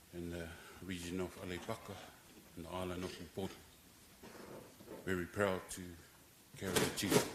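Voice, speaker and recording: A man with a very deep, low voice talks at a fairly quick pace, flat and monotone. His loudness swings widely, and he leaves long, frequent pauses. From New Zealand. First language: Samoan. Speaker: eulogist, son of deceased. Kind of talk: eulogy. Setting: funeral service.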